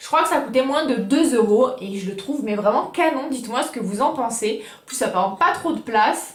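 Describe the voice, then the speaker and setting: A woman's high voice sounds animated, with lively intonation. Noticeable background noise and audible room echo fill the recording. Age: 20s. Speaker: YouTuber. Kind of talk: casual haul video.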